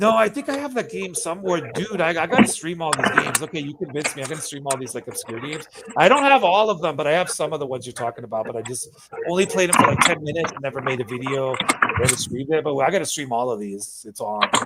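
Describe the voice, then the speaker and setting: A man talking very fast, with big swings in loudness, very wide pitch swings and noticeable background noise. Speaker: streamer and podcast host. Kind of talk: casual chat. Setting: live stream. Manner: slurred.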